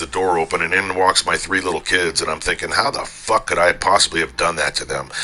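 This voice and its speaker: Over noticeable background noise, a man with a very deep, low pitch talks at a very fast pace with ordinary pitch variation. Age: 60s. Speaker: gamer. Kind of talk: casual talk in online game voice chat. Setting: online game voice chat. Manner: blunt, profane.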